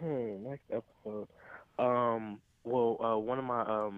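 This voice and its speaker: A man speaks at a medium pitch with fairly even intonation. He has an American accent. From US Midwest, Cleveland, Ohio. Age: 20s. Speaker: sneaker reseller and store owner. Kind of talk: casual interview. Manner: hesitant, many fillers.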